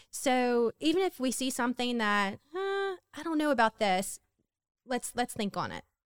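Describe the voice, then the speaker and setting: This woman's voice sits high in pitch and moves through very wide pitch swings. She talks at a moderate pace. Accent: Southern US. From Louisiana, Hammond. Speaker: homemaker. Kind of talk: testimony.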